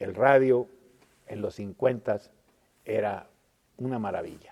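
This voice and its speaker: The speaker is a man who talks very slowly. His intonation is fairly even. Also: medium pitch for a man. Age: 70s. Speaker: historian. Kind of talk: lecture. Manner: halting, with fillers and restarts.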